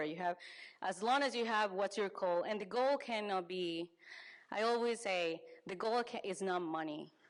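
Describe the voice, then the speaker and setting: A woman's medium-pitched voice with a Spanish accent, moderate pace and ordinary pitch variation. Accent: Spanish accent, non-native English. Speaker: business advisor. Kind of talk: conference talk. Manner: halting, frequent self-corrections.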